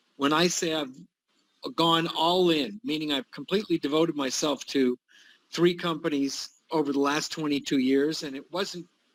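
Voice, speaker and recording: A normal speaking voice from a man, fairly high in pitch, at a moderate pace with ordinary pitch variation. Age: 60s. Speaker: retired executive, network marketer. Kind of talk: testimony.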